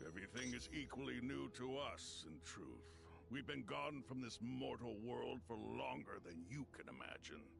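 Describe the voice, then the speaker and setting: A man puts on a character voice with fairly low pitch at a moderate pace. Loud background noise runs behind him. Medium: video game. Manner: formal, old-fashioned.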